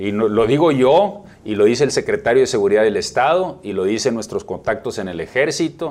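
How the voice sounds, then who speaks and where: At a fairly quick pace, a man talks with hardly any pauses. His medium-pitched voice has very wide pitch swings. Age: 40s. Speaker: mayor running for re-election. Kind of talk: interview.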